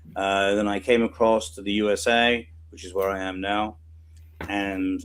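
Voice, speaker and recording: A man with a British accent talks at a fairly slow pace, his fairly low pitch carried on fairly even intonation. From UK. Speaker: emergency response volunteer. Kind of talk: interview.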